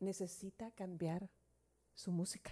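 This is a woman talking. Her pace is fairly slow. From southern South America. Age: 60s. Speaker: radio host. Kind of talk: casual chat.

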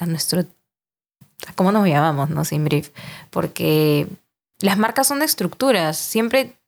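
A woman's fairly low, fry-laden voice at a fairly slow pace, with very wide pitch swings and long, frequent pauses. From Peru, Lima. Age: 20s. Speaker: podcast host, marketing agency worker. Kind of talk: casual chat.

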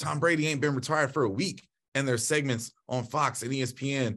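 A man talks at a fairly quick pace in an ordinary speaking voice, medium in pitch with ordinary pitch variation. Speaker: college track coach, podcast co-host. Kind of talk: casual chat.

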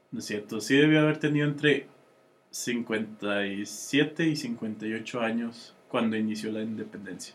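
With a Mexican accent, a man speaks at a very slow pace in a medium pitch with ordinary pitch variation. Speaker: podcast co-host. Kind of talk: casual chat.

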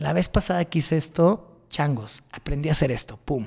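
This man speaks with a Mexican accent at a moderate pace. His pitch is fairly high, and his intonation is lively. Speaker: podcast host. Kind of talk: personal monologue.

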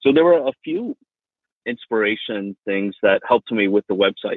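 A man with an American accent speaks in an ordinary speaking voice at a moderate pace. His pitch is medium. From Miami, Florida. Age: 40s. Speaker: real estate agent. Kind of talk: interview.

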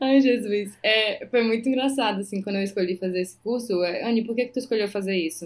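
A woman with fairly high pitch talks in an ordinary speaking voice at a fairly quick pace, with ordinary pitch variation and hardly any pauses. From Brazil, Maranhão (Northeast), interior. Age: 30s. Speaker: physician. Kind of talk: casual interview chat.

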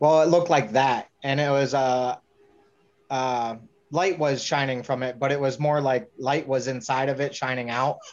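A man with an American accent and an ordinary speaking voice talks at a moderate pace and medium pitch, keeping his intonation fairly even. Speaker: congressional candidate. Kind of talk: casual chat.

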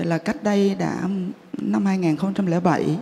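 Noticeable background noise sits behind the voice. A woman speaks at a fairly low pitch, swinging very widely in pitch. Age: 50s. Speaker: Buddhist lay practitioner. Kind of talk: testimony.

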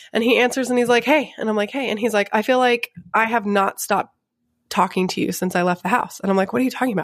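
Talking at a very fast pace, a woman with a slight Texan accent uses a fairly high pitch and ordinary pitch variation. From Grapevine, Texas. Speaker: podcast host. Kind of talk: casual chat. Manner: playful.

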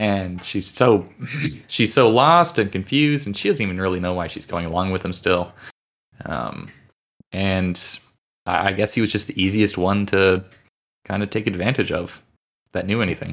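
On a very clean recording with a silent background, a man with a fairly low pitch and ordinary pitch variation speaks at a moderate pace, leaving long, frequent pauses. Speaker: podcast panelist. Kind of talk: casual book discussion podcast.

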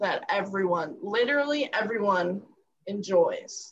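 Music plays in the background as a woman speaks very slowly. Her voice is fairly high, with ordinary pitch variation. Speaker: podcast co-host. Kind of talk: casual chat.

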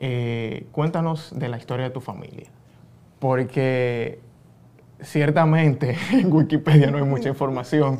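A man with a Dominican accent speaks at a fairly high pitch and a fairly slow pace. His intonation stays fairly even, but his loudness swings a lot. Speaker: podcast host. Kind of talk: interview.

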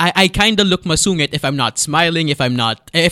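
A man with a Filipino accent, bright and sharp in tone, at a fairly quick pace, in a dry, close sound with no echo. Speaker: radio presenter. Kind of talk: casual chat.

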